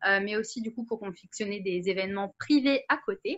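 Someone speaks at a moderate pace with lively intonation. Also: woman. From Paris region, France; France. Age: 20s. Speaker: wedding planning student and home seller; home seller. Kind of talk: interview. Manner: hesitant, many fillers. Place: home room. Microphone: webcam.

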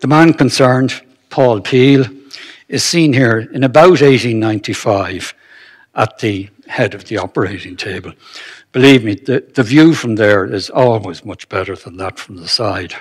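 Against a quiet background, a man with a Dublin accent speaks at a fairly slow pace with lively intonation. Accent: Irish (Dublin). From Ireland. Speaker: retired anaesthetist giving a history talk. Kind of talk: lecture. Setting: stage with audience. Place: hall. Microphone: podium.

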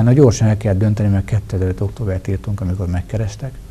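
Over light background noise, a man speaks very fast at a fairly low pitch, his intonation fairly even. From Hungary, Tolna county (Tamási); Hungary. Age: 40s. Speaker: member of parliament; guest. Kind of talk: TV interview. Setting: studio. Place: studio. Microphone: lapel.

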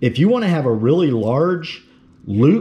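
A dark, mellow voice moves at a fairly slow pace with big pitch swings. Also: man, fairly high pitch for a man.

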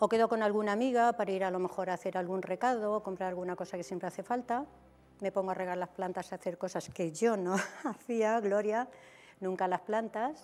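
A woman talks fairly quickly at a medium pitch, her pitch varying in an ordinary way. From Albacete, Spain; Spain. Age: 60s. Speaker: TV dating show guest; TV guest. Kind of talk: TV interview, personal life story. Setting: TV studio. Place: studio. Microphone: lapel.

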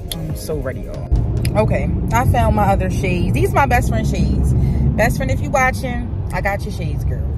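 Music plays in the background as a woman speaks at a moderate pace in a dry sound with no echo. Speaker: vlogger. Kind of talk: casual vlog chat. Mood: upbeat, playful. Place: car. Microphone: phone near.

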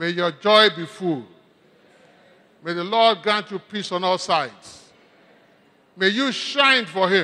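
A man with a high pitch and a bright, sharp tone projects a raised voice at a very slow pace, with long, frequent pauses and ordinary pitch variation. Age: 80s+. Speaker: birthday celebrant, church elder. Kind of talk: thank-you speech with blessings. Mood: grateful, warm. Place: hall. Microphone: handheld.

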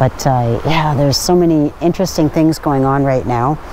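A woman's very deep, low voice at a moderate pace, with ordinary pitch variation, a dry sound with no echo and light background noise. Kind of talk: casual vlog chat. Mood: cheerful, excited. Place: waterside. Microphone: lapel.

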